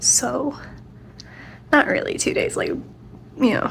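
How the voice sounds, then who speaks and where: Whispering from a woman at a fairly slow pace, set against noticeable background noise. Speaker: crochet vlogger. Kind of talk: casual vlog. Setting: at home at night.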